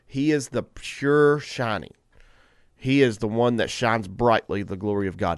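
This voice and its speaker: Animated, lively-inflected man's voice with a Southern US accent, medium pitch, moderate pace, and a quiet background. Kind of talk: casual morning radio talk. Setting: studio. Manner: animated, preachy enthusiasm.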